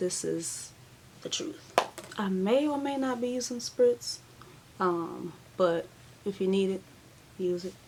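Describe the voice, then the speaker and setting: A fairly slow pace with ordinary pitch variation over noticeable background noise. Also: woman. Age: 20s. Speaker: beauty vlogger. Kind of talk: tutorial. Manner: casual.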